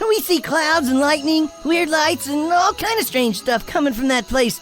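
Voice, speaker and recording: A cartoonish character voice with a high pitch speaks at a moderate pace. Clear background noise can be heard. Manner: casual, slangy.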